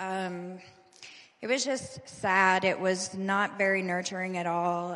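Audible room echo surrounds a woman whose fairly low voice stays monotone and flat. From Louisville, Kentucky. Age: 40s. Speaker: recovery program resident. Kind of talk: testimony. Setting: church service.

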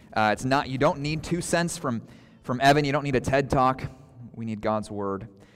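Speaking at a moderate pace, a man uses a medium pitch. His pitch varies in an ordinary way, with music playing in the background. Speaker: pastor. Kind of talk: sermon. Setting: church.

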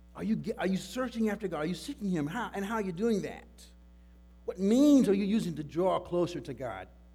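With music playing in the background, a man with a high voice talks at a fairly quick pace with lively intonation. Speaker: pastor. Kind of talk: sermon. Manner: loud; halting.

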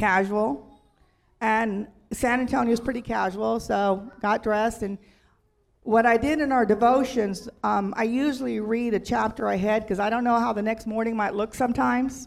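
This woman has a normal speaking voice with a fairly high pitch and fairly even intonation. She keeps a moderate pace on a very clean recording with a silent background. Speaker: church member. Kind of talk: testimony. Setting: church.

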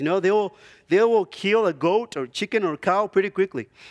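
Here a man speaks with a non-native accent at a fairly quick pace. The sound is dry and close, with no echo. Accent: foreign. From Zimbabwe. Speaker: lay preacher, church elder and dentist. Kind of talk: sermon. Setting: church. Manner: hesitant, many filler words.

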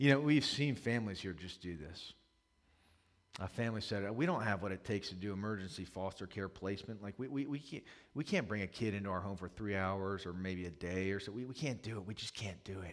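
A man with an American accent talks at a fairly quick pace in a fairly low pitch, a plain, everyday voice captured in a very clean recording with a silent background. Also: ordinary pitch variation. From US, Maryland (Howard County). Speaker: pastor. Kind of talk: sermon.

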